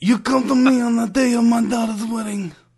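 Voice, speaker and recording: A man uses a put-on character voice at an extremely high pitch. He talks at a fairly quick pace. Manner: imitation of a famous film character.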